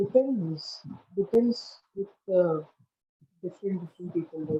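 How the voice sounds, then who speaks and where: Soft-spoken and medium in pitch, a woman talks at a fairly slow pace. Her pitch variation is ordinary. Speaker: parent. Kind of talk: interview.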